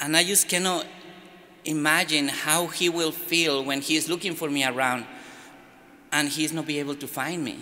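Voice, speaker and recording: A man's fairly high-pitched voice with fairly even intonation, moderate pace, long and frequent pauses, and audible room echo. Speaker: immigrant in church sanctuary, business owner. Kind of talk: press conference statement. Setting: press conference in a church. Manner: halting.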